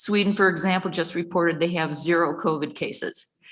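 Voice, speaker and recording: A woman with a bright, sharp tone and fairly low pitch talks at a fairly quick pace with fairly even intonation. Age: 70s. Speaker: public commenter at school board meeting. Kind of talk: prepared public comment. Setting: public meeting. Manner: formal.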